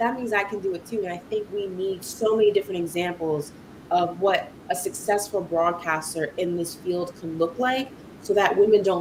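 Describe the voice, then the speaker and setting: A woman talks at a fairly quick pace in a New York accent, her tone animated. Noticeable background noise runs under her voice. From New York City, Brooklyn and Queens. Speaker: sports broadcaster. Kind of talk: interview conversation.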